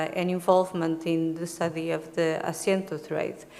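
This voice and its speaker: A woman talks with a Portuguese accent. Room echo is audible. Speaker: historian, conference speaker. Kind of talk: academic conference presentation. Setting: conference room with audience. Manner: hesitant, with many fillers.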